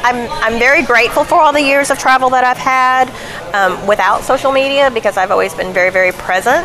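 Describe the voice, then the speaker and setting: With a Southern US accent, a woman talks at a moderate pace with ordinary pitch variation over noticeable background noise. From Arkansas (Elkins, near Fayetteville). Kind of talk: casual interview. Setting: restaurant.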